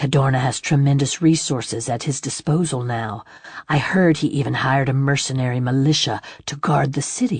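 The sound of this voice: The voice heard here is an unforced reading voice. It is used throughout the clip.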